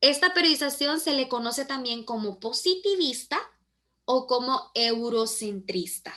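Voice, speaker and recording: Speaking very slowly in a raised, projected voice, a woman with a high pitch uses lively intonation. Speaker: teacher. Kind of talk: online class lecture.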